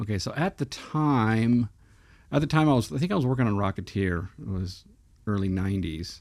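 It is an unremarkable speaking voice: a man with an American accent, fairly low pitch, and lively intonation. He keeps a moderate pace on a very clean recording with a silent background. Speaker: movie podcast co-host, former model shop prop maker. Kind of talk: casual chat.

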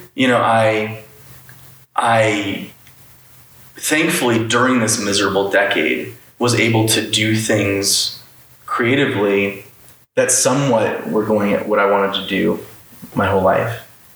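Someone with an American accent talks at a fairly slow pace, leaving long, frequent pauses. The loudness stays very even, pitch varies ordinarily, and there is noticeable background noise. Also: man, fairly low pitch for a man. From Florida, Orlando. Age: 30s. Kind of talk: casual chat. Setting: in person at a home.

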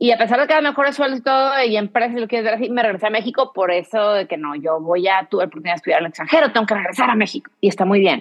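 Speaking very fast with hardly any pauses, a woman uses lively intonation in a fairly high pitch. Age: 40s. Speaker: real estate investor. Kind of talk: casual interview.

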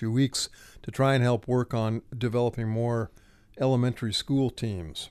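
Moderate pace and fairly even intonation in a plain, everyday voice. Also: man. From Ohio, between Akron and Cleveland. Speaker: retired nonprofit director and writer. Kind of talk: interview. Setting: studio.

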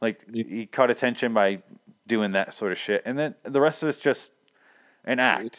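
Captured with a dry, close sound and no echo, a man uses an ordinary speaking voice at medium pitch with ordinary pitch variation. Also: moderate pace. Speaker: podcast host. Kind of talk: casual chat. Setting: remote recording.

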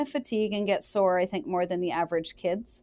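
With an American accent and an ordinary speaking voice, a woman talks at a fairly quick pace at medium pitch with ordinary pitch variation, on a very clean recording with a silent background. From Michigan. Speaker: orthopedic surgeon. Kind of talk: interview.

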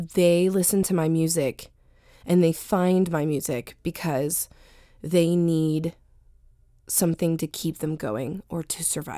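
A woman's fairly low voice, dark and mellow in tone, with an American accent, very slow pace and fairly even intonation, on a very clean recording with a silent background. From US, Northern Virginia. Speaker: singer-songwriter. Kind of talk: interview. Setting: radio studio.

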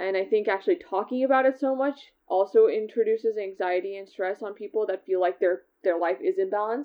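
A woman with a fairly high pitch talks at a fairly quick pace, with ordinary pitch variation and an unremarkable speaking voice. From US West Coast (California, Seattle). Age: 20s. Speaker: tech product manager. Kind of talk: interview.

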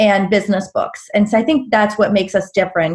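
A woman talks with an American accent. Her voice is fairly high-pitched and somewhat breathy. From Pittsburgh area, Pennsylvania. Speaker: business coach and entrepreneur. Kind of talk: casual interview chat.

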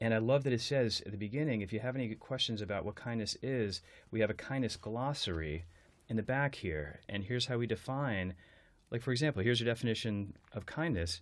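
At a fairly quick pace, an unremarkable speaking voice with an American accent shows ordinary pitch variation. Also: man, medium pitch for a man, very clean recording, silent background. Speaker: podcast host and educator. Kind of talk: interview. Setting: London.

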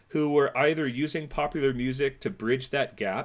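In a very clean recording with a silent background, a man with an American accent talks at a moderate pace in an ordinary speaking voice, with ordinary pitch variation. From California. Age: 40s. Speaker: music education professor. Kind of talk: casual interview chat.

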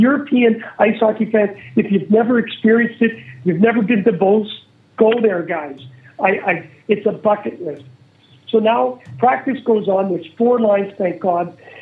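A man with a Manitoban accent speaks at a high pitch with ordinary pitch variation. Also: moderate pace. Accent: Canadian (Manitoba). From Canada, Winnipeg. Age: 50s. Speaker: former pro hockey player, podcast host. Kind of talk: casual interview storytelling. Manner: animated.

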